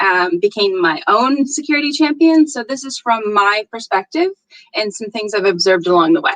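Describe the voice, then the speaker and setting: With an American accent, a woman talks at a moderate pace and a fairly high pitch, her intonation lively and the sound dry and close with no echo. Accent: American, unchanged. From northeastern US. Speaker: security conference speaker. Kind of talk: conference talk. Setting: virtual meetup. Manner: animated.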